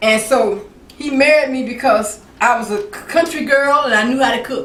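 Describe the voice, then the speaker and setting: A woman with an American accent speaks at a moderate pace in a high voice, her intonation lively, with audible room echo and noticeable background noise. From Mississippi, US South. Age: 70s. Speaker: cooking channel host. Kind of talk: cooking tutorial with personal stories. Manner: casual, repetitive with frequent restarts.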